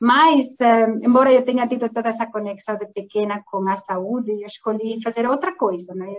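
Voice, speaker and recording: A woman with a Spanish accent speaks at a moderate pace in a fairly high pitch with ordinary pitch variation. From southwest Spain. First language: Spanish (speaking Portuguese). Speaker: pharmaceutical executive. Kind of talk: interview. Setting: online live stream.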